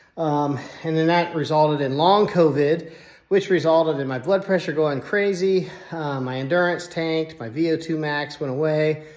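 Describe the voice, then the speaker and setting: Fairly high male voice at a moderate pace, with fairly even intonation and noticeable background noise. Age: 60s. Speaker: fitness channel host, engineer and cancer survivor. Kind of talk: personal story monologue to camera. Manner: casual, with fillers.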